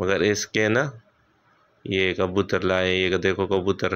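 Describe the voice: A man's clear, smooth, fairly bright voice, low in pitch, with little pitch movement and a slow pace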